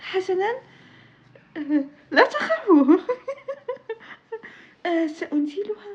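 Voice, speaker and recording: A woman talks at a very slow pace with an extremely high pitch. Her intonation is lively, broken by long, frequent pauses. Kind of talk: casual talk to camera.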